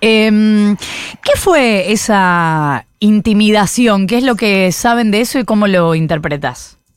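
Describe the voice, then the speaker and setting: In a very clean recording with a silent background, a woman with a medium pitch speaks at a very slow pace, her intonation lively and her loudness very even. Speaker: radio host. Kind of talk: radio interview.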